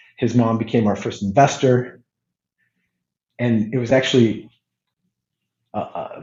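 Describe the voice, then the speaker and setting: In a General American accent, a man talks at a fairly slow pace in a somewhat breathy, medium-pitched voice. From California (Hayward). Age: 40s. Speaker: media company CEO. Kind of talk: casual interview. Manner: halting, many repetitions.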